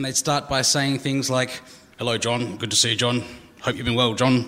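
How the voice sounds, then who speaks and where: A man is speaking. He has an Australian accent. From South Australia. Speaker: comedian. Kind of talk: stand-up. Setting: stage with audience.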